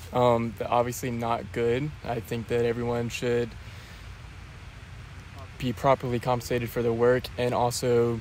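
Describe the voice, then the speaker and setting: Over light background noise, a man speaks in a monotone, flat way at a fairly slow pace, with long, frequent pauses and a dry sound with no echo. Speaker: interviewee. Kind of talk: interview answer. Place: open country. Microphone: handheld.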